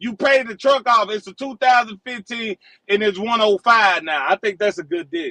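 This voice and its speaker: A man's raised, projected voice, high for a man and bright and sharp in tone, at a moderate pace with big swings in loudness and a dry, close sound with no echo. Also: ordinary pitch variation. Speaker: truck driver. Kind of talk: heated debate.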